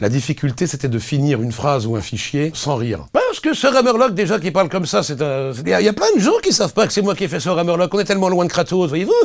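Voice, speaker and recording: Speaking at a very fast pace with hardly any pauses, a man uses a high pitch and very wide pitch swings. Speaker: voice actor. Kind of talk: interview. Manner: halting.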